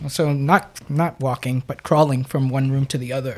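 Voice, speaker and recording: With an American accent, this woman is heard on a very clean recording where the background is silent. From New York, Brooklyn. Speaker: pastor and psychotherapist. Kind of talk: casual chat.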